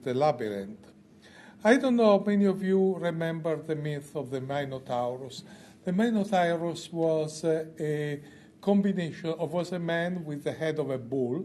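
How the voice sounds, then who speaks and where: A man's fairly high, dark and mellow voice with lively intonation, set against audible room echo. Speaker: oncologist. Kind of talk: conference lecture. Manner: slow.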